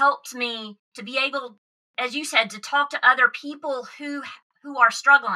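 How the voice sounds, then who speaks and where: Here is a woman with a Southern US accent. Her voice sits at a high pitch. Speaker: podcast host. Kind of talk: casual interview chat.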